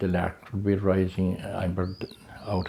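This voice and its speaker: A man speaks at a moderate pace in a very deep, low pitch. His intonation is monotone and flat, with noticeable background noise. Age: old. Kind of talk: oral history interview answer.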